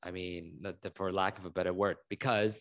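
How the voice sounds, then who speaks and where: The recording is very clean, with a silent background. The voice carries an American accent at a very fast pace. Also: man. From Hong Kong, with ten years of schooling in the US. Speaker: fitness educator and author. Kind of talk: interview. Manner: repeats words when starting sentences.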